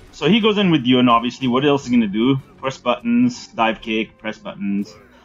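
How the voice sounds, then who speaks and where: Over background music, a man with a fairly high pitch talks at a fairly quick pace, his pitch swinging very widely. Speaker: gaming streamer. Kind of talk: live stream commentary over match replays. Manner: casual, hesitant with many fillers.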